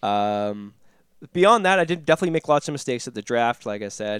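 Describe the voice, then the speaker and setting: On a very clean recording with a silent background, a man talks at a fairly quick pace with lively intonation. His is an unremarkable speaking voice. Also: dry, close sound with no echo. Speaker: hockey podcast co-host. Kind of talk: casual chat.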